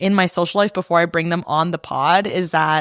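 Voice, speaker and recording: A loud woman on a very clean recording with a silent background. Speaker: podcast host. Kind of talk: casual monologue. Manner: conversational, lots of fillers.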